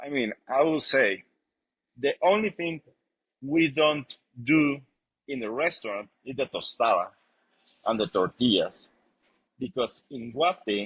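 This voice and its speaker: A man with a Spanish accent and fairly high pitch, lively intonation, big swings in loudness, a fairly slow pace with long, frequent pauses, and a dry, close sound with no echo. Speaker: chef and restaurant owner. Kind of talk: interview. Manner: halting.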